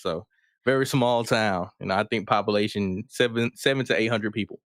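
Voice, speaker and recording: A fairly quick delivery with a slight Southern US accent, in a dry, close sound with no echo. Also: man, very clean recording, silent background. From US South, rural Mississippi. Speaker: rapper and Air Force veteran. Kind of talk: casual chat.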